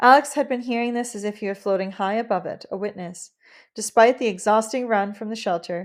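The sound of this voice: This is an unforced reading voice. Little sound comes from behind it.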